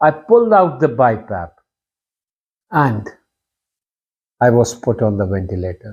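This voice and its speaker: This man's voice sits at medium pitch, somewhat breathy, with lively intonation. He speaks at a fairly slow pace with long, frequent pauses over a quiet background. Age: 60s. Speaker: surgeon. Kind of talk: personal testimony.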